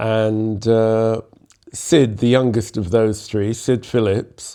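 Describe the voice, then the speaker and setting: With a London accent, a man speaks very slowly at a medium pitch, his tone dark and mellow and his intonation fairly even. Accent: southern English (London). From London, England. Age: 70s. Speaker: jazz musician and composer. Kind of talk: interview storytelling.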